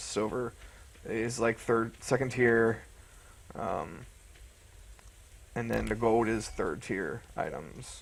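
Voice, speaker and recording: Using vocal fry, a man speaks at a medium pitch and a very slow pace, with fairly even intonation and long, frequent pauses. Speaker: gaming youtuber. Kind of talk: gameplay commentary. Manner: casual, hesitant; mumbling.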